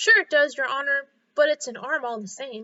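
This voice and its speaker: Putting on a character voice, a woman speaks high-pitched at a moderate pace with lively intonation. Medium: read story. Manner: deferential, plain-spoken.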